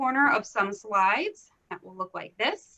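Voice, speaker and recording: A woman with an American accent has a bright, sharp tone. Her intonation is lively. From US Northeast, Philadelphia area. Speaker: instructional leadership consultant. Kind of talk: conference presentation.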